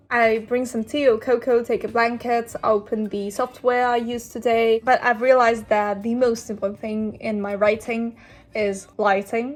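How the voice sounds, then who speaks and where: A woman speaks at a fairly slow pace with fairly even intonation and a fairly high pitch. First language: not English. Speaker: filmmaker and screenwriter vlogger. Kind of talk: casual vlog narration.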